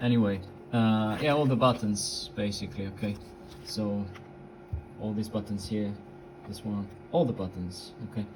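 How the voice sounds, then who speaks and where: A man speaks at a moderate pace with ordinary pitch variation. Long, frequent pauses and audible room echo mark the clip. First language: Italian. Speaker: radio hobbyist. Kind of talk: tutorial. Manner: halting, many fillers.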